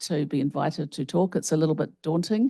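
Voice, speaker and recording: Over a quiet background, a woman with a fairly low pitch and a dark, mellow tone talks at a fairly quick pace with lively intonation. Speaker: health researcher and professor. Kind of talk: keynote lecture. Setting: conference stage with audience and microphone.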